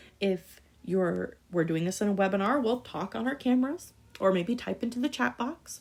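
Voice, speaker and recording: Her voice sits at a medium pitch, and this woman uses lively intonation. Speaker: school teacher. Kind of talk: recorded lesson. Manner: fast.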